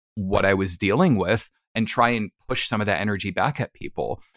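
A man with an American accent and an ordinary speaking voice talks at a moderate pace with ordinary pitch variation, recorded dry and close with no echo on a very clean track with a silent background. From New Jersey, US. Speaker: hypnotherapist. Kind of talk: casual interview.

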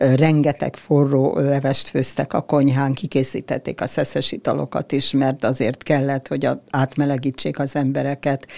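Hardly pausing, a woman with a very deep, low pitch and a dark, mellow tone speaks at a moderate pace in a monotone, flat intonation with very even loudness. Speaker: granddaughter of a ship's doctor. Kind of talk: interview.

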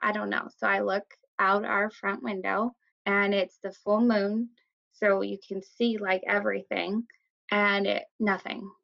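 This is a woman speaking. She has a US Midwestern accent. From Iowa, US Midwest. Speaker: art teacher. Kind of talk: casual storytelling chat.

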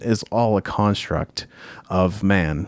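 On a very clean recording with a silent background, a man speaks at a fairly low pitch with ordinary pitch variation in a plain, everyday voice. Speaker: podcast host; musician. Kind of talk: casual podcast conversation.

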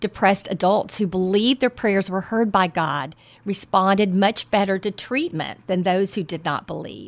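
A woman with a Texan accent speaks on a very clean recording with a silent background. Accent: Texan Southern. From Southeast Texas. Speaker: podcast host, health coach. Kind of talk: interview. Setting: on location at church.

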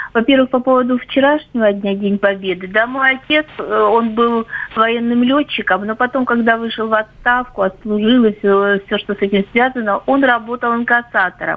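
Noticeable background noise sits behind a woman with fairly high pitch. She talks at a moderate pace with fairly even intonation. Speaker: caller. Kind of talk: personal story. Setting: phone call.

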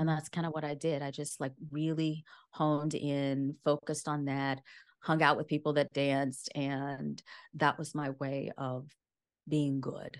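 Over a quiet background, a woman with a very deep, low pitch speaks at a fairly slow pace in a monotone, flat intonation. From rural Louisiana. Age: 50s. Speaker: yoga teacher and author. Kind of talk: interview conversation.

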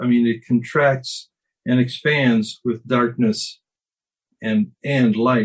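Somewhat breathy, a man speaks at a very slow pace. His pitch varies in an ordinary way. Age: 70s. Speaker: recovery group participant. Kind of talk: casual group discussion.

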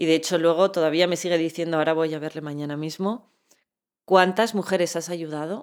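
A woman speaks at a fairly quick pace in a plain, everyday voice, fairly low in pitch with fairly even intonation. The recording is very clean, with a silent background. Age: 40s. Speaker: chronic pain patient and medical cannabis advocate. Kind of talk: interview.

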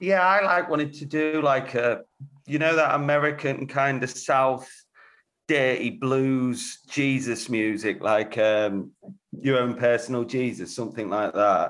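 A normal speaking voice from a man, medium in pitch, with ordinary pitch variation and a fairly slow pace. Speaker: guitarist in a band. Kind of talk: casual interview.

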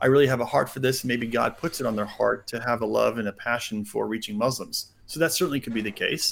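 Hardly pausing at all, a man speaks at a very fast pace. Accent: American. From United States. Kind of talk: interview on religion.

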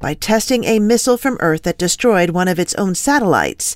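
A woman speaks at a moderate pace with lively intonation in an unremarkable speaking voice. The recording is very clean, with a silent background. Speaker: news anchor. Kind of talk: newscast reading. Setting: broadcast from ranch studio. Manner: formal, steady, professional news-anchor delivery.

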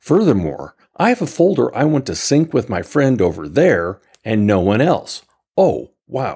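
Vocal fry runs through a man's voice as he speaks at a moderate pace with very wide pitch swings, on a very clean recording with a silent background. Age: old. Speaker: listener contributor, tech reviewer. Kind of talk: recorded review.

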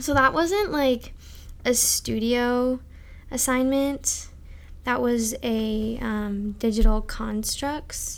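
Speech comes at a very slow pace, with long, frequent pauses and ordinary pitch variation. Audible room echo surrounds it. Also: woman. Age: young. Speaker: architecture student. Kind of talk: casual chat.

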